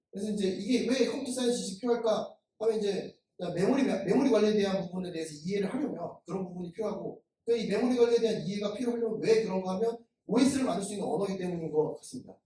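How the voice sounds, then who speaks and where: At a very fast pace, a man talks at a high pitch with ordinary pitch variation. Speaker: software developer and conference speaker. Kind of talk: technical conference talk. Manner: halting, many fillers.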